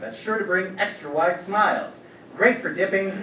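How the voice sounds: A natural reading voice with fairly even intonation carries through the clip.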